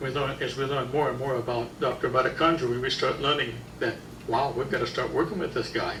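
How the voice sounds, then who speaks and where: Over noticeable background noise and audible room echo, a man talks at a fairly quick pace with a medium pitch and fairly even intonation. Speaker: health seminar speaker. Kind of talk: lecture. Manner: loud.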